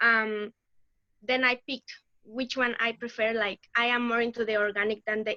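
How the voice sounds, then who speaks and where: A woman speaks with a Mexican accent at a fairly high pitch and moderate pace, her tone bright and sharp. The intonation is monotone and flat, and the sound is dry and close with no echo. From Mexico. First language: Spanish. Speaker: laboratory research assistant. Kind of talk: interview.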